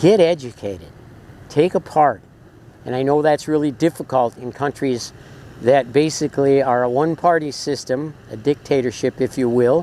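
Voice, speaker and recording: A man with a dark, mellow tone at a moderate pace. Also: fairly high pitch for a man, ordinary pitch variation. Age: 70s. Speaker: travel vlogger. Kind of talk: documentary commentary to camera. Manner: halting with filler uhs.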